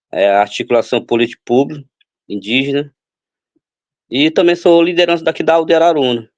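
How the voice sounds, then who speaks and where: The pace is moderate. Pitch variation is ordinary. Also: man. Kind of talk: interview testimony. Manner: halting, many fillers.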